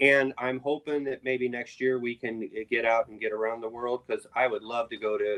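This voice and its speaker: Recorded dry and close with no echo, a man uses an ordinary speaking voice at medium pitch and a moderate pace with fairly even intonation. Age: 60s. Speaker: rock drummer. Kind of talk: interview.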